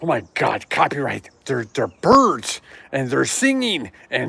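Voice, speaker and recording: A man's bright, sharp voice carries vocal fry and lively intonation at a moderate pace. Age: 60s. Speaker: YouTuber and retiree. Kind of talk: live stream chat. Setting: indoors in apartment. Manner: casual, chatty.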